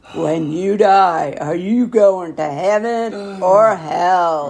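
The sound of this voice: A put-on character voice at middle pitch and a very slow pace, over light background noise.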